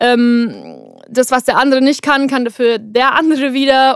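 A woman talks at a moderate pace with fairly even intonation in a very clean recording with a silent background. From Bavaria, Germany. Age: 20s. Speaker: singer and songwriter. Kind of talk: interview, casual chat. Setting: vocal booth in a recording studio.

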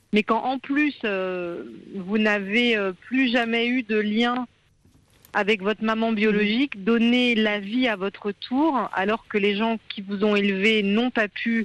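In a dry, close sound with no echo, a woman with a fairly high pitch speaks very slowly with fairly even intonation. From France (born in India, adopted as baby). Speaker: journalist and author. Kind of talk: radio interview.

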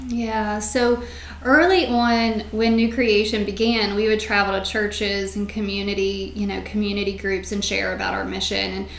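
In a Virginia accent, a woman speaks at a moderate pace with audible room echo and noticeable background noise. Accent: Virginia, US South. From Shenandoah Valley, Virginia. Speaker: nonprofit founder and shop owner. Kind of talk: interview.

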